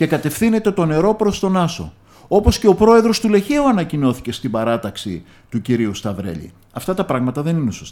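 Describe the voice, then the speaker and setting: The man speaks at a fairly high pitch with very wide pitch swings. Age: 60s. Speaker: local politician. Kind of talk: radio interview. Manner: hesitant, frequent filler sounds.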